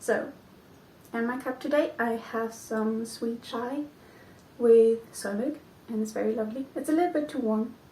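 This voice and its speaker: A woman with a Flemish accent speaks at a moderate pace with a fairly high, dark, mellow voice. Her pitch varies in an ordinary way, and she leaves long, frequent pauses. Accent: Belgian (Flemish) accent in English. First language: not English. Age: 20s. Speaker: knitting podcaster. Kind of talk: casual vlog chat. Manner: hesitant, many ums.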